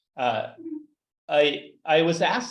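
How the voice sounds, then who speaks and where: A man in a Canadian accent, with audible room echo. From Canada. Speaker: data artist and researcher. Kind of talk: lecture. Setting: seminar room, also streamed on video call. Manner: fast; halting, repeats words.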